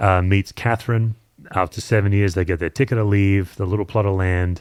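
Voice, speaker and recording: Recorded very cleanly against a silent background, the speaker has an Australian accent and talks at a moderate pace with fairly even intonation. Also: man. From Australia, Perth. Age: 50s. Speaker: pastor and author. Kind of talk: podcast interview.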